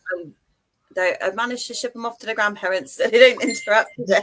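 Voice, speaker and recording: A woman's fairly high voice holds a fairly even intonation. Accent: strong British. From UK. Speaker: author. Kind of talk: casual interview.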